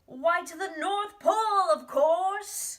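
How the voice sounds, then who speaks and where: A put-on character voice in an extremely high pitch drags along at a very slow pace. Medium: read story.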